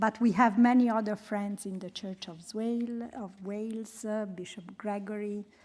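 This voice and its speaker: A woman with a strong Italian accent speaks in a fairly high, monotone, flat voice, her loudness swinging widely, with hardly any pauses. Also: moderate pace. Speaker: humanitarian programme coordinator and researcher. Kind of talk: presentation.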